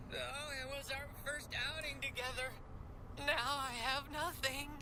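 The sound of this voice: A cartoonish character voice at a fairly slow pace over loud background noise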